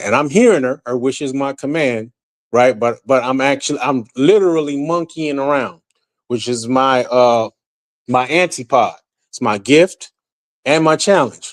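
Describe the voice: This man has an unremarkable speaking voice at a fairly high pitch with ordinary pitch variation. He talks at a moderate pace in a dry, close sound with no echo.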